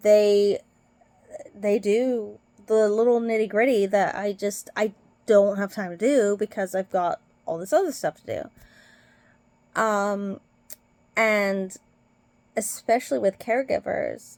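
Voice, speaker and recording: In an American accent, a woman speaks at a fairly slow pace and fairly high pitch, with long, frequent pauses, on a very clean recording with a silent background. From Britain. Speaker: nurse. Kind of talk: casual vlog commentary. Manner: hesitant, many fillers.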